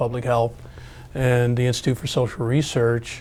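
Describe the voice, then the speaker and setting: Here is a man with a normal speaking voice at a medium pitch. He talks at a moderate pace. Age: 60s. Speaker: academic researcher. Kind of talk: oral history interview. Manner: conversational with fillers and repetitions.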